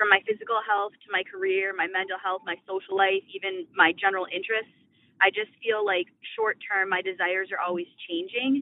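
At a fairly quick pace, a woman with a plain, everyday voice speaks at a medium pitch with fairly even intonation. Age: 20s. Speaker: caller leaving a voicemail. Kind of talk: voicemail question.

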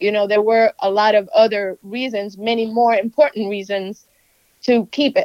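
An ordinary speaking voice from a woman with an American accent, fairly high-pitched with fairly even intonation, in a dry, close sound with no echo. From US, Cuban American. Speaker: TV reporter. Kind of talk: interview. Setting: phone call.

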